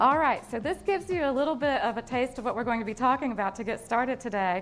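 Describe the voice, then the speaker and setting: There is music in the background. A woman speaks at a fairly quick pace with a high pitch. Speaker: keynote speaker. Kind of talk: live keynote speech to a business audience. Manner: engaging, humorous.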